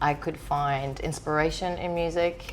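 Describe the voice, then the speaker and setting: In a room with audible echo, a woman speaks at a fairly slow pace with monotone, flat intonation. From Greece, small island. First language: Greek. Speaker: DJ. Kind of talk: interview.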